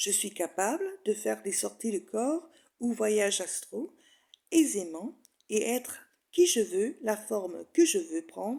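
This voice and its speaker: With a fairly high pitch and very wide pitch swings, a woman speaks at a very slow pace. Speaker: hypnosis and spirituality author and guide. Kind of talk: hypnosis meditation guide reading affirmations. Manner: calm, slow, soothing.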